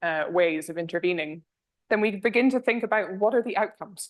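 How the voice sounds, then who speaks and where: A Scottish accent at a fairly quick pace. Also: woman. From northern Scotland. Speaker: energy policy researcher. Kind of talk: lecture.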